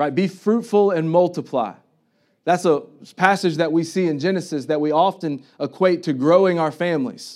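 A man with an American accent speaks at a moderate pace, his voice fairly high with ordinary pitch variation. The recording is very clean, with a silent background. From US South (Tennessee/Florida). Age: young. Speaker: pastor. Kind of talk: sermon. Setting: church.

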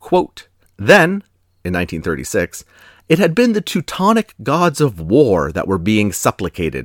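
In a very clean recording with a silent background and a dry, close sound with no echo, a man with vocal fry speaks at a medium pitch and moderate pace, his pitch swinging very widely. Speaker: podcast host. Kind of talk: true-crime narration. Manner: grave, measured storytelling pace; formal, solemn.

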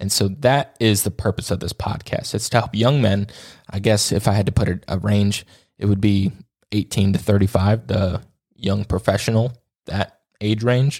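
This man has an unremarkable speaking voice with a fairly low pitch. He talks at a moderate pace with fairly even intonation. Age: 20s. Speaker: podcast host. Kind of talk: solo monologue. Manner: casual, with filler words.

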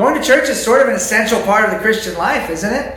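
A man speaks with a high pitch and ordinary pitch variation at a moderate pace. Audible room echo and noticeable background noise are present. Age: 30s. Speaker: pastor. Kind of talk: sermon.

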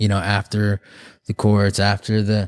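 On a very clean recording with a silent background and a dry, close sound with no echo, a man with an American accent speaks at a fairly low pitch. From Oklahoma and the Navajo reservation in Arizona. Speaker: photographer sharing his recovery and faith story. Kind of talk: testimony.

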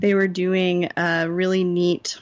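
A woman with an American accent speaks in a fairly low, monotone voice with flat intonation. The recording is very clean, with a silent background. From Indiana. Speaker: nurse and healthcare consultant. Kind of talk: interview.

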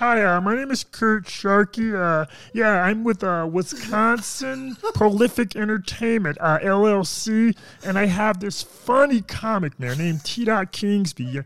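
A put-on character voice, croaky and raspy, speaks at a fairly high pitch and a fairly slow pace. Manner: feigned professional.

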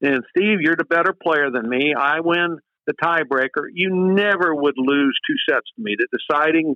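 A man with an American accent speaks fairly slowly in a plain, everyday voice, fairly high in pitch with ordinary pitch variation. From Indiana. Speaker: college tennis coach. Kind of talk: podcast interview. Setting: studio.

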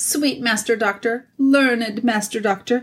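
Putting on a whiny, shrill character voice, a woman speaks at a moderate pace in a fairly high pitch on a very clean recording with a silent background. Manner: wheedling, fawning.

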